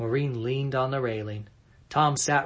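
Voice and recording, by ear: A passage gets read aloud in a natural voice.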